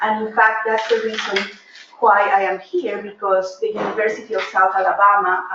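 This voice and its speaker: Speaking in a Peruvian accent with monotone, flat intonation, the voice comes through over noticeable background noise. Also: woman. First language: Spanish. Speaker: professor. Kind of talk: lecture. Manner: hesitant, many fillers.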